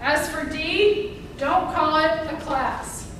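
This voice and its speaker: Audible room echo and noticeable background noise both accompany a woman as she speaks. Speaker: housing counseling presenter. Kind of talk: workshop presentation.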